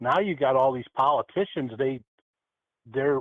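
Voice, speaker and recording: Speaking at a moderate pace, a man has an unremarkable speaking voice. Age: 60s. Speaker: regular show guest. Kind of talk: casual chat.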